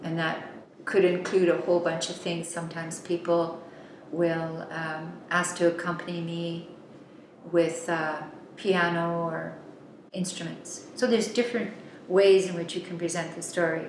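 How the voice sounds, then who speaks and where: In a room with audible echo and light background noise, a woman speaks at a moderate pace in a fairly low pitch with monotone, flat intonation. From Yukon, Canada. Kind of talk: interview answer.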